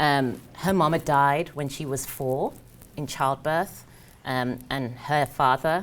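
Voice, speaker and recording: A woman's very deep, low voice at a very slow pace, with fairly even intonation. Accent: English. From English Midlands (Birmingham). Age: 30s. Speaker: career coach. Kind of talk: motivational talk. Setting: stage with audience.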